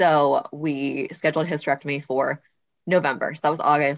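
A woman with an American accent speaks at a moderate pace in a very deep, low pitch, with fairly even intonation. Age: 30s. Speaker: podcast co-host and endometriosis patient. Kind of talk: personal testimony.

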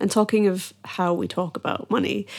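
With a Scottish accent, a woman keeps a fairly even intonation on a very clean recording with a silent background. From Scotland, Edinburgh. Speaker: podcast host. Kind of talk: casual interview.

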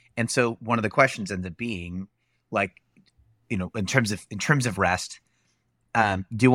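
With a fairly bright tone, a man talks at a moderate pace and shows ordinary pitch variation. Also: dry, close sound with no echo.

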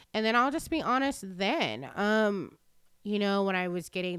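Heard on a very clean recording with a silent background, a woman talks in an unremarkable speaking voice. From Texas. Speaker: person in addiction recovery sharing her story. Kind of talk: testimony.

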